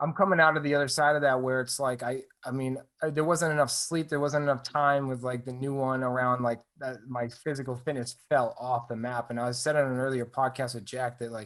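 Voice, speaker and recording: It is an ordinary speaking voice from a man with a medium pitch. He moves at a fairly quick pace with fairly even intonation. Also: hardly any pauses. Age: 30s. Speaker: podcast host. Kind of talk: casual chat.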